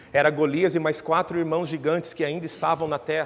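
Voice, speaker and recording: A man with a fairly high voice speaks at a fairly quick pace in a monotone, flat intonation. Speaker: pastor. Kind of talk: sermon.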